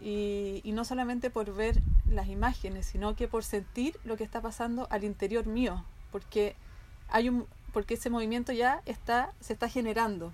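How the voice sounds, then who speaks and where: A woman with an unremarkable speaking voice talks at a moderate pace in a fairly high pitch with fairly even intonation. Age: 40s. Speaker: podcast co-host. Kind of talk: casual chat.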